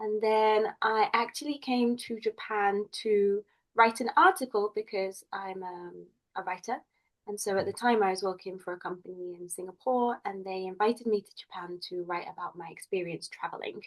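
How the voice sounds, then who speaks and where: Speaking at a moderate pace with an English accent, a woman uses a medium pitch and ordinary pitch variation, though her loudness swings widely. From England. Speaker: community founder and English professor. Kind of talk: podcast interview.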